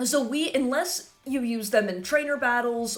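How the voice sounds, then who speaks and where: A woman speaks at a fairly slow pace in a high pitch with an animated tone. Noticeable background noise runs underneath. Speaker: Pokemon gaming YouTuber and streamer. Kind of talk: casual video commentary.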